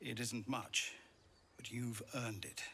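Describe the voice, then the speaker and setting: A raspy, put-on character voice at a fairly slow pace over clear background noise. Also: man, medium pitch for a man. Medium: video game.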